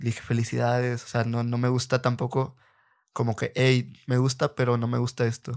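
A man speaks at a moderate pace in a medium pitch with a flat, monotone delivery, on a very clean recording with a silent background. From Reynosa, Tamaulipas, Mexico. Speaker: rapper and former freestyler. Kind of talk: casual interview. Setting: at his home.

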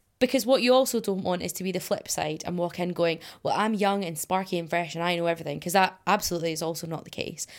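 Very clean and recorded against a silent background, a woman with a Scottish accent speaks at a very fast pace with hardly any pauses. Her pitch is fairly low, with ordinary variation. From Scotland. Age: 20s. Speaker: climate activist and environmental scientist. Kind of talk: interview.

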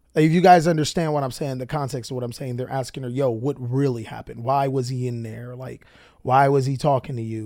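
A man with an American accent speaks at a moderate pace in a dark, mellow tone, his medium pitch fairly even, on a very clean recording with a silent background. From Long Beach, California. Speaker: podcast host and card game content creator. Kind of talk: casual monologue.

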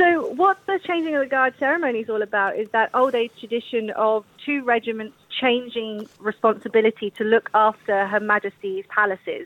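A woman with a London accent, fairly high in pitch, lively in intonation and fairly quick, in a dry, close sound with no echo. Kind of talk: radio interview.

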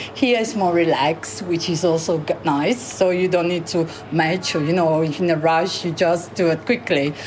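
A woman's fairly low voice with an Italian accent, ordinary pitch variation and a moderate pace, over music in the background. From Sorrento, southern Italy. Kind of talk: interview.

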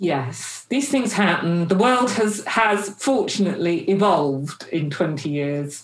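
A woman talks at a very slow pace with hardly any pauses. Her pitch swings very widely. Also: medium pitch for a woman. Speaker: podcast host and chief executive. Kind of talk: interview, polished intro.

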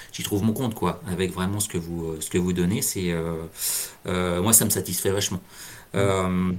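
A man with a very deep, low pitch keeps his intonation fairly even. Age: 40s. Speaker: payroll worker and amateur trader. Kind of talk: interview. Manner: halting.

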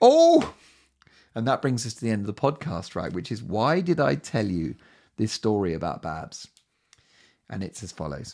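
Over a silent background in a very clean recording, a man with a dark, mellow tone and fairly low pitch speaks at a moderate pace, his pitch swinging very widely between long, frequent pauses. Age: 40s. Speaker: podcast host and comedian. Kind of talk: solo monologue podcast. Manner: animated.

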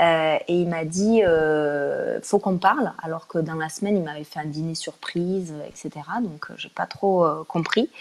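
The pace is fairly slow, with hardly any pauses. Intonation stays fairly even while loudness swings widely. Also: woman, fairly low pitch for a woman. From Toulouse, southern France. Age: 30s. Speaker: guest sharing personal experience. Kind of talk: testimony. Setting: live stream. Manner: hesitant, many fillers.

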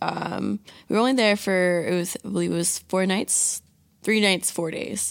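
A woman with a plain, everyday voice speaks in an American accent at a fairly low pitch, with fairly even intonation, on a very clean recording with a silent background. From Virginia, Hampton Roads area. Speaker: college student. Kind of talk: casual chat.

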